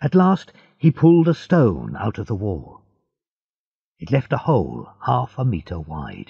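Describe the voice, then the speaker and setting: A man with an American accent speaks at a fairly slow pace and a fairly low pitch, with long, frequent pauses. His tone is dark and mellow, with vocal fry, very wide pitch swings and big swings in loudness. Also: dry, close sound with no echo. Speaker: audiobook narrator. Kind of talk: audiobook reading. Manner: slow, clear.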